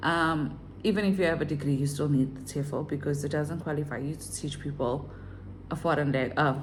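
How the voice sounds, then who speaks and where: A woman speaks with a very deep, low pitch and a somewhat breathy quality. Her voice carries audible room echo. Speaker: online English teacher and vlogger. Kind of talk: casual vlog tutorial.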